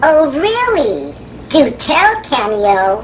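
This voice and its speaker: In a put-on character voice, high in pitch with very wide pitch swings, the speaker is heard over clear background noise. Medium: comedy sketch. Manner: teasing, playful.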